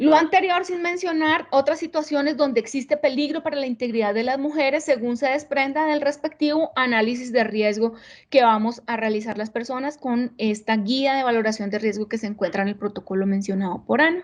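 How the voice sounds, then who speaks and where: Fairly quick and with hardly any pauses, a woman speaks at a high pitch with lively intonation. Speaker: panelist on domestic violence response. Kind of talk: videoconference presentation. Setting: video call. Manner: fast.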